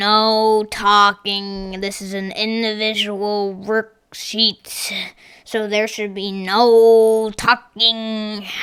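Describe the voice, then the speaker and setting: Using a raspy put-on character voice at medium pitch, a woman speaks very slowly in flat, monotone intonation while her loudness swings widely. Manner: stern, scolding.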